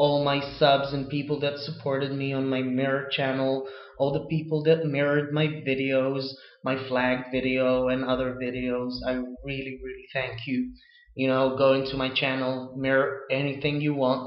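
Flat and monotone, a man with an American accent talks at a medium pitch in a room with audible echo. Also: moderate pace. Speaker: video blogger. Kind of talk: casual chat. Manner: halting. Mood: earnest, defiant, relaxed delivery. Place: home room. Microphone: webcam.

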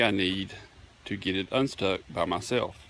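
There is light background noise. The sound is dry, with no echo. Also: man. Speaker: rural DIY vlogger. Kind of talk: casual vlog chat. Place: open country. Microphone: phone near.

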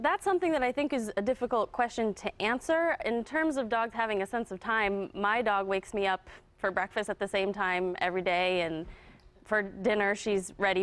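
A woman is speaking. She keeps a fairly quick pace. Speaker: guest. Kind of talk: interview answer. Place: studio.

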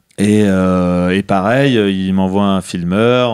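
At a very slow pace, a man speaks with a very deep, low pitch. His pitch variation is ordinary. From France, Lyon. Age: 40s. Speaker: skateboarder and brand founder. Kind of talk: casual interview. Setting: office in Lyon.

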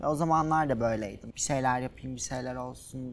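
Light background noise sits behind a woman speaking at a moderate pace in a very deep, low pitch. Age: 20s. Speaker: social media influencer. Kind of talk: casual interview. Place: studio. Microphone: lapel.

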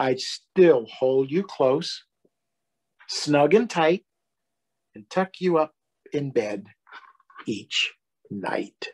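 Using a put-on character voice, a man speaks at a very slow pace with long, frequent pauses, lively intonation, a fairly high pitch and a slightly husky edge.

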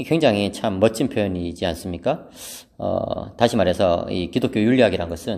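A quiet man's fairly low voice with a dark, mellow tone, ordinary pitch variation, and a moderate pace. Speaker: theology professor. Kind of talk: lecture. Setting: empty seminary hall. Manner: calm, subdued.

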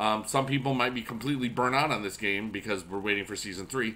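Fairly quick and bright, sharp in tone, a man speaks with ordinary pitch variation. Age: 40s. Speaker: YouTube gamer and music teacher; YouTube gamer, music teacher. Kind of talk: casual gameplay commentary. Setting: at school. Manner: animated. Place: home room.

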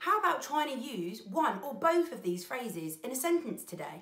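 A woman's high voice with very wide pitch swings at a moderate pace, with audible room echo and a quiet background. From UK. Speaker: children's presenter. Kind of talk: educational children's explainer. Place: home room.

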